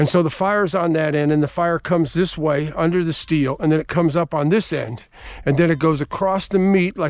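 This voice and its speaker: A man talks fairly quickly in a normal speaking voice, pitched fairly high. His intonation stays fairly even. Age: 60s. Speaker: home cook. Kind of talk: cooking tutorial. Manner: casual.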